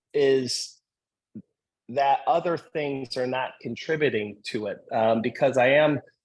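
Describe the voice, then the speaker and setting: Using ordinary pitch variation, a man talks fairly slowly in a medium-pitched voice. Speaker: patient sharing experience. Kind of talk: video call discussion. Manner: hesitant, many fillers.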